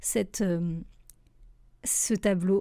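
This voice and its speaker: In a very clean recording with a silent background, a woman at a medium pitch speaks in a dark, mellow tone with fairly even intonation. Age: 30s. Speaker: graphic designer and trainer. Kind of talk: personal podcast monologue. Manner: hesitant, many fillers.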